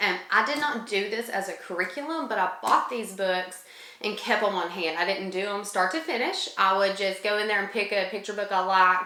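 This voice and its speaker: With audible room echo and noticeable background noise, a woman at medium pitch talks at a fairly quick pace with hardly any pauses and ordinary pitch variation. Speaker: homeschooling mom and channel co-host. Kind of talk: casual tutorial talk to camera. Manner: fast; chatty with many fillers.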